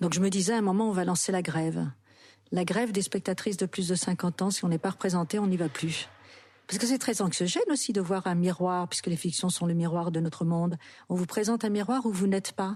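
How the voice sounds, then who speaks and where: Her voice is somewhat breathy, with a dark, mellow tone and medium pitch. The woman talks at a fairly quick pace. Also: ordinary pitch variation, very even loudness, quiet background. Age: 60s. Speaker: actress and author. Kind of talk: interview.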